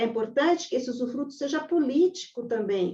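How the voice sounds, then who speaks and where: A woman talks at a moderate pace in a high pitch. The background is quiet. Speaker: lawyer. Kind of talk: webinar lecture. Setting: online webinar.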